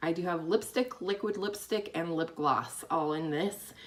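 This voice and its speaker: Noticeable background noise accompanies a woman whose fairly low pitch shows ordinary variation. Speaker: beauty vlogger. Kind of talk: product review vlog. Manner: fast; casual, chatty.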